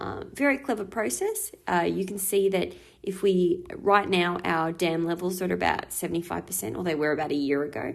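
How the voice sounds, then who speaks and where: A woman speaks with an Australian accent. She hardly pauses at all. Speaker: school teacher. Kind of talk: recorded lesson. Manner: fast.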